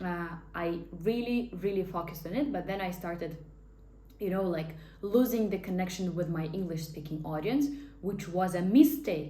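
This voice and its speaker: A woman with a Russian accent talks at a moderate pace in a medium pitch, her intonation lively. Audible echo from the room surrounds her voice. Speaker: life coach and hypnotherapist. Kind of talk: casual talking-head monologue. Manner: animated.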